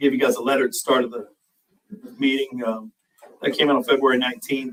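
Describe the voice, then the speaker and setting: A man talks loudly and very fast, his pitch fairly high. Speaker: fire chief. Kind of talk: public meeting report. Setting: township board meeting room.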